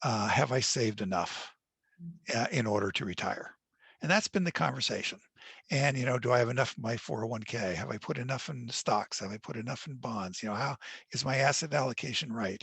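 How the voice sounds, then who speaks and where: At a fairly quick pace, a man talks in a normal speaking voice of medium pitch with ordinary pitch variation. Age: 60s. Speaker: author. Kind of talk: webinar Q&A.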